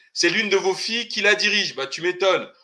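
A man speaks in a raised, projected voice with a bright, sharp tone and a high pitch. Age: 40s. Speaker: political commentator. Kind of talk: casual group discussion.

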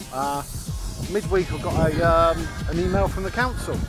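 A man speaks at a moderate pace in a dry sound with no echo, with clear music in the background. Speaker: allotment vlogger. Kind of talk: casual vlog chat. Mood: cheerful, pleased. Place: garden. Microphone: phone near.

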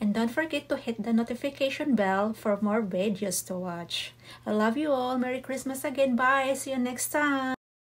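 Speaking at a moderate pace with hardly any pauses, a woman with a Visayan accent has a high pitch and ordinary pitch variation. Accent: Visayan accent in Tagalog. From Bohol, Philippines (Visayas); Philippines. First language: Cebuano (Bisaya) (speaking Tagalog). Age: 40s. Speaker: cooking vlogger. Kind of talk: vlog introduction to camera. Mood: warm, slightly shy. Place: home room. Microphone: phone near.

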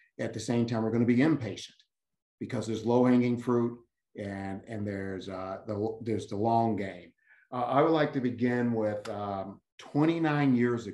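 Through audible room echo, a man speaks at a moderate pace with a dark, mellow tone and ordinary pitch variation. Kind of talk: panel remarks, personal story. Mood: earnest, reflective. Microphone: video call.

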